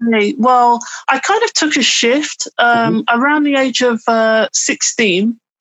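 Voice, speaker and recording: At a fairly slow pace, a woman with an East Midlands accent speaks in a high pitch, using ordinary pitch variation and very even loudness. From English Midlands, Burton upon Trent. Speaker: author and writing mentor. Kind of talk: casual interview. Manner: hesitant, many fillers.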